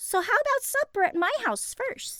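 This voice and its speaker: A woman puts on a squeaky character voice at a moderate pace. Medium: read story. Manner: eager.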